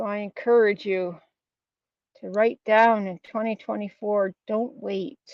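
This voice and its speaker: Fairly even in intonation and medium in pitch, a woman speaks at a fairly slow pace in an ordinary speaking voice. Her loudness swings widely. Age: 60s. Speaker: motivational vlogger. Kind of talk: casual motivational monologue, live stream. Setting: outdoors, walking.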